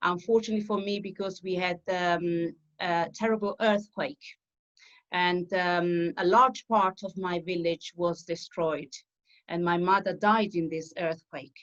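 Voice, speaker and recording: A woman with an Italian accent speaks at a fairly slow pace. Her pitch is fairly low. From southern Italy. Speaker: opera singer. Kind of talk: interview. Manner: halting, many fillers.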